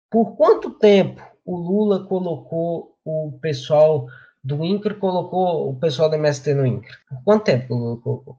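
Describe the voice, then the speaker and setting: His tone is dark and mellow, and his intonation lively. The man speaks at a fairly slow pace. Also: fairly high pitch for a man. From Brazil, Rio Grande do Norte. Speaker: study group member. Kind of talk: presentation in online study group.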